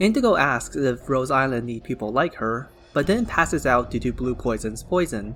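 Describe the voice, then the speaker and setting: With music in the background, a man talks at a moderate pace and medium pitch. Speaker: lore summary narrator. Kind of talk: game lore summary narration.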